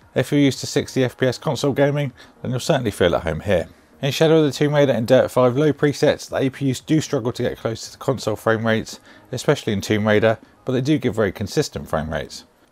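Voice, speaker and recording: A man speaks very fast with a British accent, his medium-pitched voice showing vocal fry and ordinary pitch variation. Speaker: tech YouTuber. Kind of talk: product review.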